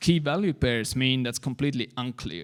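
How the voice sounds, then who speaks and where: Speaking with a non-native accent, a man uses lively intonation at a fairly quick pace and medium pitch. The recording is very clean and the background silent. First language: not English. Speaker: conference speaker on web APIs. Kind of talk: technical conference talk. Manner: hesitant, many fillers.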